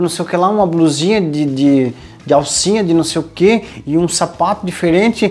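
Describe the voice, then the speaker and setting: Noticeable background noise runs under speech delivered at a moderate pace with ordinary pitch variation. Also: man. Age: 40s. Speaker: podcast host, leadership coach. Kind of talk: casual chat. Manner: animated.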